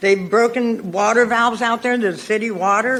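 A woman with an American accent speaks at a moderate pace. Her intonation is monotone and flat, and there is noticeable background noise. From Gilroy, California. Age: 70s. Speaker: public commenter. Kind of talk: public comment at council meeting. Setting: council chambers.

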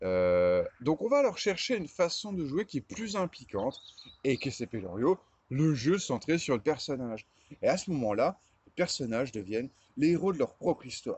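Recorded with a dry sound and no echo, a man talks at a moderate pace. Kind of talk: casual vlog chat. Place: garden. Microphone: phone near.

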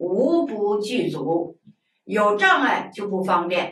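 Audible room echo surrounds a woman as she talks. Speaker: Buddhist lay teacher. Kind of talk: lecture. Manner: colloquial, conversational asides. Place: studio.

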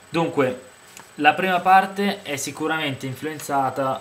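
A man at a moderate pace, ordinary pitch variation, light background noise. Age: 20s. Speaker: book reviewer and poet; book reviewer, poet. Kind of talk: book review monologue. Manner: hesitant, many fillers. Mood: calm, reflective. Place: home room. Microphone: webcam.

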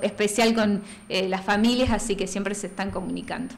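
Monotone and flat, a woman's voice carries no rise or fall. She talks at a moderate pace. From Plottier, Neuquén, Argentina; Neuquén, Argentina. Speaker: nutritionist; guest. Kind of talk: casual interview; interview answer. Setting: studio. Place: studio. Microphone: studio mic.

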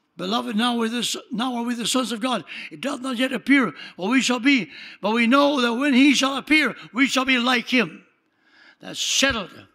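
A man uses a raised, projected voice with a bright, sharp tone and an extremely high pitch. He sounds animated, with ordinary pitch variation and a moderate pace. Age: 80s+. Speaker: pastor. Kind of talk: sermon. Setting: church.

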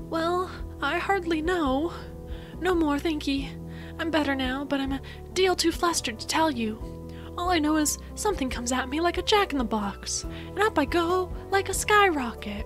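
A woman's squeaky put-on character voice at a moderate pace, over loud music in the background

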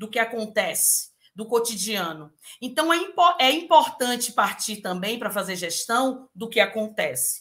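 Against a quiet background, a woman with a bright, sharp, fairly high voice speaks fairly slowly, swinging very widely in pitch and greatly in loudness. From interior of Bahia, Brazil. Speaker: university pro-rector, professor. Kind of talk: panel talk. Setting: video call.

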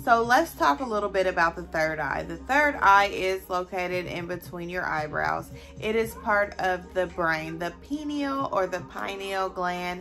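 Music plays in the background as a woman speaks at a fairly slow pace with lively intonation and hardly any pauses. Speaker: mother / content creator. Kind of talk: casual talk to camera. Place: home room. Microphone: phone near.

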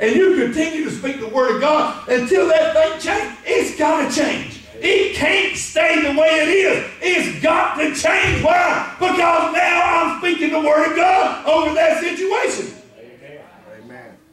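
A man's extremely high voice at a fairly slow pace, ordinary pitch variation, hardly any pauses, and audible room echo. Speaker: preacher, pastor. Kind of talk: spirit-filled sermon preaching to a congregation. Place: church. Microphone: camera far.

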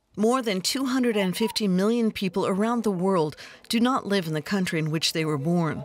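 A woman with an American accent speaks at a moderate pace, her intonation lively and her loudness very even. The sound is dry with no echo, over light background noise. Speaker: voice-over artist. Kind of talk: TV news narration. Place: booth. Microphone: studio mic.

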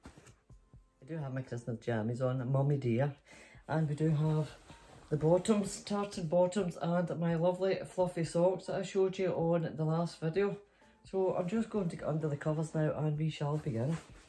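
With faint music in the background, a woman with a fairly low pitch speaks at a moderate pace with ordinary pitch variation. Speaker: storytelling vlogger. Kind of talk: casual vlog chat. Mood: playful, giggly. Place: home room. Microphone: phone near.

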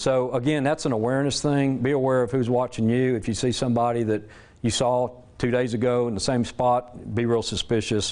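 A man's medium-pitched voice with a Southern US accent, flat monotone intonation, very even loudness and a fairly quick pace. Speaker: safety presenter and military veteran. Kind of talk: presentation to an audience. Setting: church hall with live audience. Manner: casual, conversational.

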